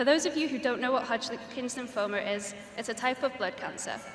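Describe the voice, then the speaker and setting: A woman speaks in a Welsh accent at a fairly high pitch with ordinary pitch variation. Audible room echo and noticeable background noise surround her. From Wales. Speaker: graduating student speaker. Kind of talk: commencement speech. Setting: graduation ceremony stage with audience.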